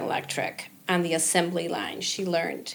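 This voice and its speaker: A woman speaks with an American accent against noticeable background noise. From US, arrived from Cuba at age five. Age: 60s. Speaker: local entrepreneur, market founder. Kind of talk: podcast interview.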